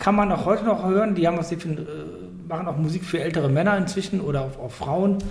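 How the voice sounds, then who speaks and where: Fairly even intonation, with audible room echo and noticeable background noise. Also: man. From Germany, Cologne. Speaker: podcast host. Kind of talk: casual chat. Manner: loud and clear.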